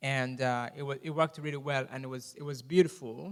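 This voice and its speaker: This man speaks with a Rwandan accent at a medium pitch. His pace is fairly quick. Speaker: guest speaker. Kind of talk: testimony with Q&A in church. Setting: church. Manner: fast when excited.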